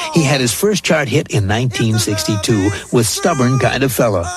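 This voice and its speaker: A man talks at a moderate pace with very wide pitch swings. Music plays in the background. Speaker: radio countdown host. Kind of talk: radio countdown show tribute narration.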